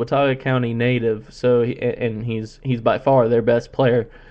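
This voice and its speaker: A man's medium-pitched voice with monotone, flat intonation at a moderate pace. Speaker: college sports radio host. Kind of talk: sports talk show.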